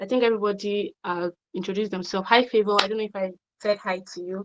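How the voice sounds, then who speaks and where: A woman speaks at medium pitch with fairly even intonation. Her sound is dry and close with no echo. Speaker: online course instructor. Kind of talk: lecture. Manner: fast.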